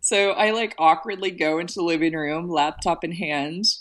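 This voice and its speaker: Against a quiet background, a woman with an American accent uses an ordinary speaking voice, fairly low in pitch, at a moderate pace. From US South, Virginia (Shenandoah Valley). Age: 20s. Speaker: growth marketing founder and former model. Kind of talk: interview.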